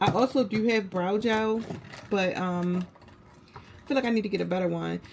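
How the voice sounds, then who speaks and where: Noticeable background noise sits behind a woman at a medium pitch. She speaks at a moderate pace with ordinary pitch variation. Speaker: beauty and lifestyle vlogger. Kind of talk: get ready with me tutorial. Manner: casual, chatty.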